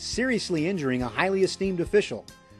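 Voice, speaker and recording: A man's fairly quick, lively-toned speech with music in the background. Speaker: documentary host / narrator. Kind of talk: documentary narration.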